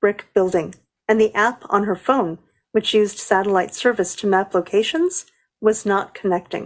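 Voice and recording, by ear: The background stays quiet. The speaker is reading aloud in a natural voice.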